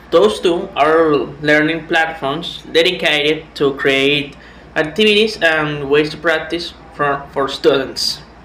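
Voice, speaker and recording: A fairly high man's voice at a very slow pace with fairly even intonation and audible room echo. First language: Spanish. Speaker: language student. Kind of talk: class presentation. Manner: halting, with repetitions and fillers.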